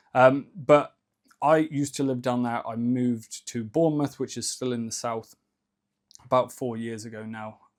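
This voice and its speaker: Speaking with fairly even intonation, a man shows big swings in loudness. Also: medium pitch for a man, moderate pace. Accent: slight Cornish. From England, Cornwall. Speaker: ecommerce entrepreneur, YouTuber. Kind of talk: casual vlog monologue. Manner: relaxed, conversational with fillers.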